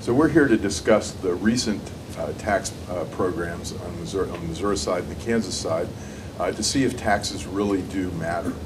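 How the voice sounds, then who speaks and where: The speech moves at a fairly quick pace with ordinary pitch variation, heard with audible room echo and noticeable background noise. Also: man, fairly low pitch for a man. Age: 60s. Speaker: panel moderator. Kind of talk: panel discussion.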